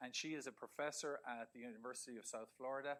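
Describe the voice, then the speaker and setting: The voice has a bright, sharp tone, an Irish accent and fairly even intonation. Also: man. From Ireland. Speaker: research professor. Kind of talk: lecture. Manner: halting, many repetitions and fillers.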